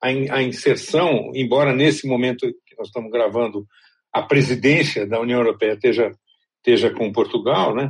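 At a moderate pace, a normal speaking voice moves with ordinary pitch variation and big swings in loudness. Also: man, medium pitch for a man. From Brazil. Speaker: journalist and podcast host. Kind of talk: scripted narration; interview.

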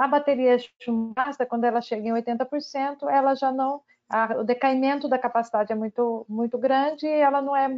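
A woman speaks in a high pitch. Her intonation stays fairly even. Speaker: battery researcher, chemist. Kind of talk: casual panel discussion.

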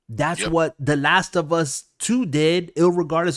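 Delivered at a moderate pace, this is an ordinary speaking voice on a very clean recording with a silent background. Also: man. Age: 40s. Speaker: gaming podcast host. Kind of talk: casual chat. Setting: live video stream.

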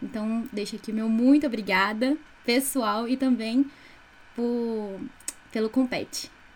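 Somewhat breathy woman's voice, fairly high in pitch. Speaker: student podcast co-host. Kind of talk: interview.

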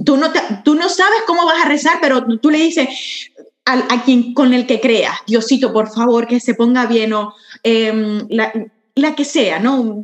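A woman's voice is high in pitch, with lively intonation, very even loudness and a fairly slow pace. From Venezuela. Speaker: entrepreneur and spiritual guide. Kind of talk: casual interview chat.

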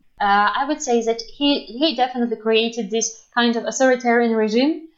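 A woman's high-pitched voice with a Belarusian accent and ordinary pitch variation. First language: Russian or Belarusian. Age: 20s. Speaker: interviewee from Belarus. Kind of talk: casual interview. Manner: halting, many fillers.

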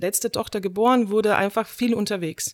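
A woman's medium-pitched voice with a Slovenian accent. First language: Slovenian (speaking German). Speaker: theatre director and drama teacher. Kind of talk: casual chat.

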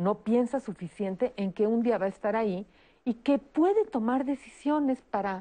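Her tone dark and mellow, a woman speaks at a fairly high pitch with lively intonation. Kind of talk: televised panel discussion.

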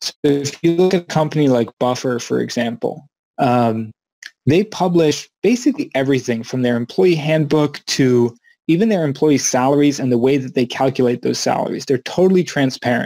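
A man's fairly high voice with a dark, mellow tone, ordinary pitch variation and a moderate pace, in a dry, close sound with no echo. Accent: Mid-Atlantic. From US, Maryland. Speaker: company CEO, remote work speaker. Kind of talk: conference presentation. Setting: virtual conference, video call.

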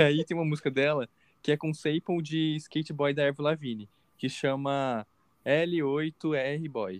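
At a fairly slow pace comes a normal speaking voice. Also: man, fairly high pitch for a man, ordinary pitch variation. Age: 20s. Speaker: podcast co-host, university student. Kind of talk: casual chat.

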